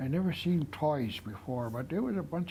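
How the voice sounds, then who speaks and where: Somewhat breathy and lively in intonation, a man speaks at a moderate pace. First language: Nlaka'pamux. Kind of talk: interview storytelling. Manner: halting.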